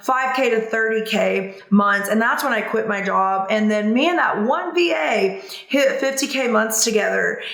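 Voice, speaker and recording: With a Southern US accent, a woman speaks in an animated tone with ordinary pitch variation, amid noticeable background noise and audible room echo. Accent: Southern twang. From US South. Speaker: business coach. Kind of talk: tutorial. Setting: home video recording. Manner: fast; casual, animated.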